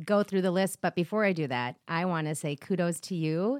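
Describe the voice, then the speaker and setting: The recording is very clean, with a silent background and a dry, close sound with no echo. The speaker has a normal speaking voice with fairly even intonation. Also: woman. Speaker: assistant at an advisory firm. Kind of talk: casual chat. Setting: studio.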